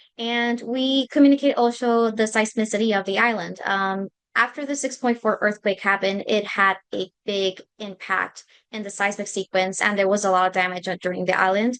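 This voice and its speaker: A woman speaks with a Spanish accent at a moderate pace against a quiet background. Her pitch is medium and her intonation fairly even. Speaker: graduate student intern. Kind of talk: presentation.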